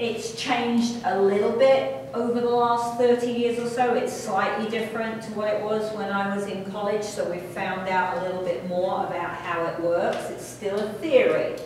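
A woman talks with hardly any pauses and ordinary pitch variation. Strong room echo and light background noise fill the recording. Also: moderate pace. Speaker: college instructor. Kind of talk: lecture. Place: classroom. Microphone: camera far.

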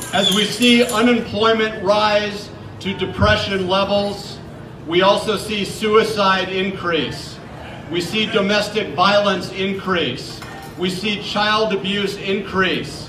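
Over noticeable background noise, a man in a raised, projected voice talks at a very slow pace with fairly even intonation. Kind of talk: rally speech. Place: street.

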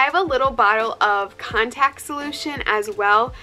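At a moderate pace, a woman talks while music plays faintly behind her. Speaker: fitness vlogger. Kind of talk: casual vlog chat. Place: home room. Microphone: phone near.

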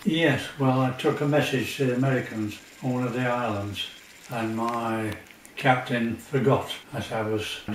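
Audible room echo and light background noise surround a man who speaks at a moderate pace with fairly even intonation. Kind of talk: interview answer. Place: home room.

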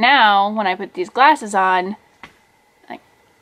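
Ordinary pitch variation marks a woman's fairly slow speech. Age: 40s. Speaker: vlogger. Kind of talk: casual vlog monologue. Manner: animated. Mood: puzzled, mildly exasperated. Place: home room. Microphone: webcam.

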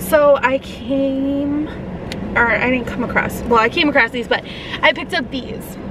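A woman with a high voice at a fairly slow pace, fairly even in intonation, in a dry sound with no echo and noticeable background noise. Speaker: YouTube vlogger; vlogger. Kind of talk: casual mukbang vlog. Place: car. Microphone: phone near.

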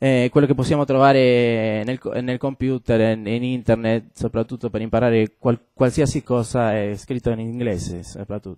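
A man's medium-pitched voice in a Spanish accent, dark and mellow in tone, with fairly even intonation at a moderate pace against a quiet background. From Argentina, Buenos Aires. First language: Spanish (speaking Italian). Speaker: game designer; guest. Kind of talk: talk to students. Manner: halting, many fillers. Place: classroom.

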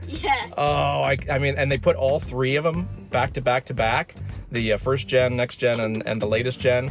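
Clear music plays in the background as a man speaks in a dry sound with no echo. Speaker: channel host. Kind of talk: casual vlog chat. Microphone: phone near.

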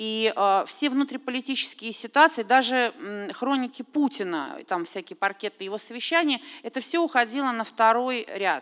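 A woman speaks at a moderate pace in a high voice, her intonation lively and hardly any pauses breaking it, against a quiet background. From Russia. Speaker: television critic; audience commentator. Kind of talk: panel discussion. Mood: earnest, critical. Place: hall. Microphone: podium.

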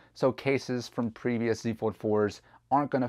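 A man speaks at a fairly quick pace over a quiet background. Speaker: tech reviewer. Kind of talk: product review talk. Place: home room. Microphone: lapel.

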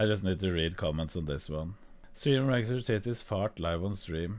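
This man talks with a Norwegian accent, a fairly low pitch and lively intonation. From Norway. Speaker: streamer. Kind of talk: reaction stream commentary. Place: home room. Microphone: studio mic.

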